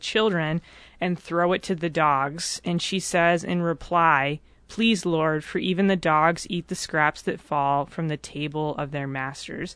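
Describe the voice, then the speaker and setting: Against a quiet background, a woman uses a normal speaking voice, fairly low in pitch, at a fairly slow pace with ordinary pitch variation. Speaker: faith formation director. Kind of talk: interview discussion. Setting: studio.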